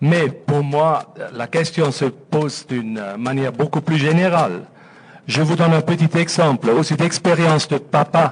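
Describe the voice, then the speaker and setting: Speaking with a Swiss German accent, a man uses a fairly high pitch and ordinary pitch variation. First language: Swiss German (speaking French). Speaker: audience member. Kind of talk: audience question.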